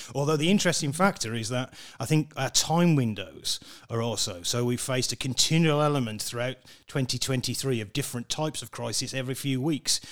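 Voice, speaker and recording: In a very clean recording with a silent background, a man with a plain, everyday voice speaks at a fairly quick pace, his medium pitch showing ordinary pitch variation. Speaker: professor of crisis management. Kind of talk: interview.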